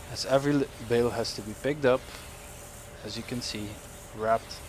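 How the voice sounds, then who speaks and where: A man speaks with a strong Dutch accent. Noticeable background noise can be heard. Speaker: gaming YouTuber. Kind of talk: let's play commentary. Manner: casual, halting with self-corrections.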